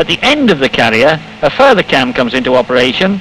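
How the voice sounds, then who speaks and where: A man talks at a fairly quick pace with very wide pitch swings, over noticeable background noise. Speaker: film narrator. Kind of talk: 1950 industrial film narration, scripted voiceover. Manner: formal, measured, precise, matter-of-fact; steady, unemotional, instructional pacing.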